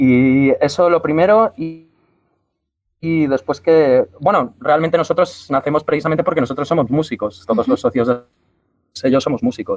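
Speaking with an unremarkable speaking voice at a moderate pace, the man uses lively intonation over a fairly high pitch. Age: 20s. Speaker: musician and record label member. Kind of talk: panel discussion. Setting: remote connection.

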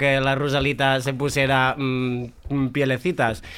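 Over noticeable background noise, a man speaks at a fairly slow pace in a fairly high pitch. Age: 20s. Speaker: drag performer and party organizer. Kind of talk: casual chat.

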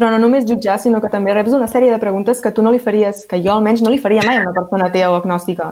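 A woman with a Catalan accent talks very fast, with hardly any pauses. Her pitch is fairly high, her intonation fairly even and her loudness very even. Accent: Catalan (central). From Catalonia, Vallès Oriental. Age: 20s. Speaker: law and politics student. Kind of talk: round-table discussion.

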